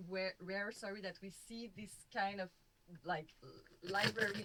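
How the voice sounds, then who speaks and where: A woman with a Quebec accent and a bright, sharp tone. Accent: Québécois French accent in English. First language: French. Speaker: film critic and novelist. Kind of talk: panel discussion. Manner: informal, many fillers like 'like'.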